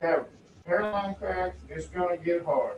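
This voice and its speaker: This man talks at a fairly slow pace in a Texan accent. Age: 60s. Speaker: property owner protesting appraisal. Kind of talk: appeal hearing testimony. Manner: halting, repeats words.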